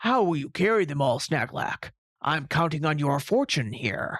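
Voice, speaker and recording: Using a put-on character voice, a man sounds raspy at a fairly high pitch. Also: moderate pace. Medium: read story. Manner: hearty.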